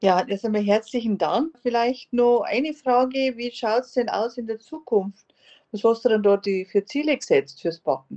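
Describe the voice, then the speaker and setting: A woman with a normal speaking voice talks at a moderate pace, her fairly high pitch showing ordinary variation and her loudness swinging widely. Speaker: podcast host. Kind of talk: interview.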